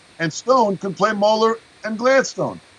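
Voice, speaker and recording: Talking at a fairly slow pace, a man uses a high pitch. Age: 60s. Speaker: drum teacher and performer. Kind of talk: interview.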